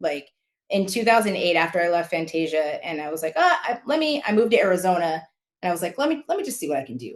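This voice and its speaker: In an American accent, a woman with a fairly low pitch speaks very fast. Her tone is animated, with very wide pitch swings. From California (San Diego). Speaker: former color guard performer and judge. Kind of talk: interview.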